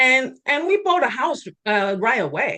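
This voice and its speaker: A woman talks at a moderate pace in a bright, sharp tone against a quiet background. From Taiwan. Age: 50s. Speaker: real estate investor. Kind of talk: interview. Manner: halting, many fillers and restarts.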